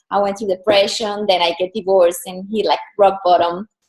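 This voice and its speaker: A woman with a Colombian accent talks at a fairly quick pace and a medium pitch. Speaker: personal brand and style coach. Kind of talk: interview.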